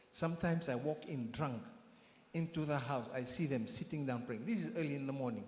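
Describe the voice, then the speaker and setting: Room echo is audible as a man speaks at a moderate pace and medium pitch. His intonation is lively and his voice somewhat breathy. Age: 60s. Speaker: church member giving testimony. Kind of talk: testimony. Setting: church.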